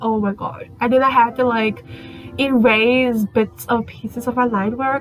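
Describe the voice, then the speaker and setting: Music plays in the background. A woman talks with fairly even intonation. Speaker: digital artist. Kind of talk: casual voice-over commentary. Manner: halting, self-correcting.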